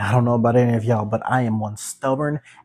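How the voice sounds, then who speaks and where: A man's voice, dry and close with no echo, over music in the background. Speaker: podcast host. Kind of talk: solo pep talk, guided-meditation-style close-your-eyes moment.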